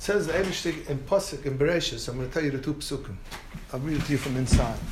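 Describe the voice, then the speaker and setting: A fairly high-pitched man talks at a very fast pace. Audible room echo surrounds his voice. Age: old. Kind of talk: informal talk to a group, storytelling. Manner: animated.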